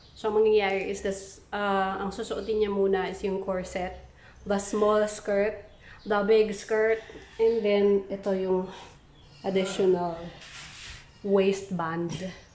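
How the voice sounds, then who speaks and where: In a room with audible echo, a woman speaks very slowly at a medium pitch, her intonation flat and monotone, with long, frequent pauses. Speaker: crafts vlogger. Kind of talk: casual vlog narration.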